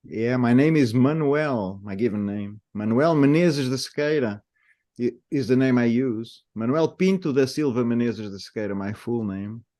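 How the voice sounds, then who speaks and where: A man with a medium-pitched voice and a dark, mellow tone talks at a moderate pace with ordinary pitch variation against a quiet background. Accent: European Portuguese. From Portugal, Lisbon area (Cascais). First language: Portuguese. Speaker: native speaker helping with pronunciation. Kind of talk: casual interview. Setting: video call.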